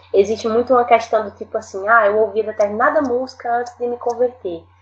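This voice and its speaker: A woman talks at a fairly quick pace and fairly high pitch in an ordinary speaking voice. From Northeast Brazil, Rio Grande do Norte. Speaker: singer-songwriter. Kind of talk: casual panel discussion.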